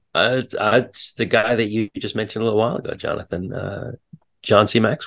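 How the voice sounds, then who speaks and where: A man talks at a fairly quick pace in a plain, everyday voice of medium pitch. The sound is dry and close with no echo, and his intonation stays fairly even. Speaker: podcast co-host and part-time pastor. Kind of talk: casual podcast conversation.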